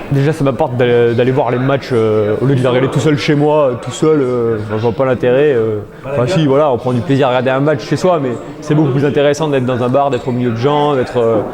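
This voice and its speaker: A man talks at a very fast pace and medium pitch. Both audible room echo and noticeable background noise come through. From southern France, near Montélimar. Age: 20s. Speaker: football fan club member. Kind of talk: interview. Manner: hesitant, many fillers.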